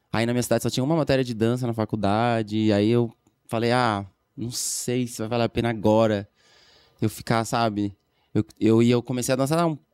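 A man speaks at a moderate pace with fairly even intonation, the sound dry with no echo and the background quiet. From Florianópolis, Brazil; Brazil. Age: 30s. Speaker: dancer and dance teacher; dance teacher. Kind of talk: casual chat. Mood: calm, reflective. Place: studio. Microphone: studio mic.

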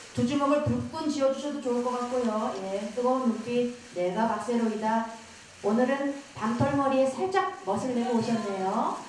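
Noticeable background noise sits behind a woman with a high pitch. She talks at a moderate pace with ordinary pitch variation. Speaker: event host. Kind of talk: press event emceeing. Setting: stage with audience.

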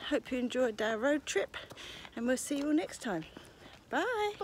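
Over light background noise, a woman with a high pitch swings very widely in pitch at a moderate pace, the sound dry with no echo. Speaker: family vlogger. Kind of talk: casual vlog chat.

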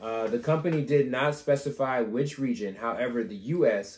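Amid light background noise and audible room echo, a man's dark, mellow tone carries lively intonation. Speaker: podcast co-host. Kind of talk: casual chat. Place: home room. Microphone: camera far.

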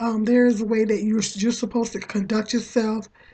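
With a dark, mellow tone, a woman talks at a moderate pace in a fairly high pitch, somewhat breathy and monotone in a flat intonation. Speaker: vlogger. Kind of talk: casual monologue. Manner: halting, many fillers.

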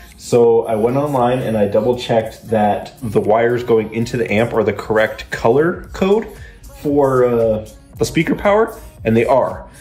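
A man talks at a moderate pace with very even loudness as faint music plays in the background. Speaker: car hobbyist vlogger. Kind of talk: casual vlog chat. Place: garage. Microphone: phone near.

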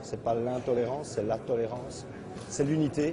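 Noticeable background noise runs under a man's voice. He talks at a fairly slow pace with fairly even intonation. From Belgium. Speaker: convert to Islam giving testimony. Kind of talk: testimony. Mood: calm, sincere. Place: hall. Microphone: lapel.

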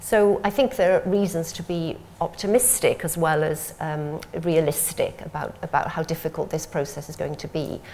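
This woman speaks with a Welsh accent at a moderate pace. Her pitch sits fairly low and varies in an ordinary way. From Wales. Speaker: civil servant. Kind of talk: panel discussion. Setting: stage with audience. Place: meeting room. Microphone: lapel.

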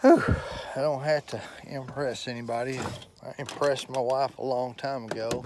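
Over noticeable background noise, the speaker keeps a moderate pace and a monotone, flat intonation. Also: man, medium pitch for a man. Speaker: hobby mechanic vlogger. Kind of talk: casual vlog narration. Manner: casual, rambling with fillers.

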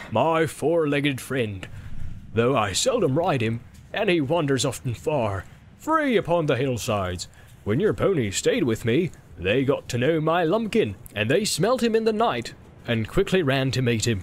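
In a put-on character voice, the speaker goes along at a moderate pace with a sing-song lilt and very even loudness. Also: man, fairly high pitch for a man. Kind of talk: audiobook character voice. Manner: jolly, sing-song, laughing.

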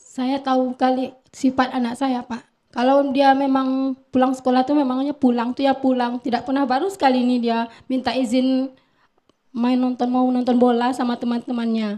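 A woman's high, dark and mellow voice with monotone, flat intonation. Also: moderate pace. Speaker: victim's mother. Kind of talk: emotional plea.

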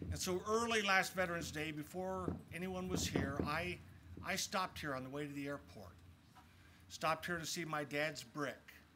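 Over noticeable background noise, a man with a fairly high voice speaks at a moderate pace, his pitch swinging very widely. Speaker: state legislator; speaker. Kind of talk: formal speech. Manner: reflective, formal. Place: open country. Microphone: podium.

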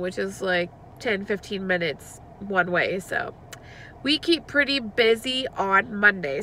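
A woman speaks over light background noise. The sound is dry with no echo, and her pitch varies in an ordinary way. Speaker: parent vlogger. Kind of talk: casual vlog chat.

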